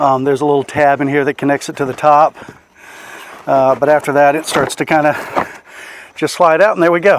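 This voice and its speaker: A fairly high-pitched man at a fairly quick pace, monotone and flat, with long, frequent pauses and noticeable background noise. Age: 60s. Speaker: DIY vehicle vlogger. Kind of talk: tutorial. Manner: casual, filler-heavy.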